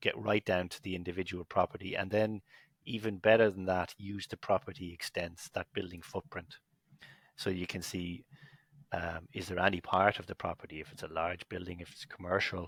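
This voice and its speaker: In a very clean recording with a silent background and a dry, close sound with no echo, a man with a very deep, low pitch speaks at a moderate pace with fairly even intonation and big swings in loudness. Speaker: company executive. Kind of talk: podcast interview.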